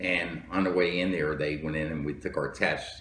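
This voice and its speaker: Against noticeable background noise, a man with an American accent speaks at a very deep, low pitch with fairly even intonation. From New Jersey. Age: 70s. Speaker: Marine Corps veteran and police lieutenant. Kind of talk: interview answer.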